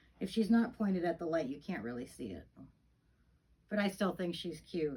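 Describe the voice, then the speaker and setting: Speaking at a fairly quick pace, a woman uses a fairly low pitch and a somewhat breathy voice. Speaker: reborn doll collector and vlogger. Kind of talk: casual chat. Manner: halting.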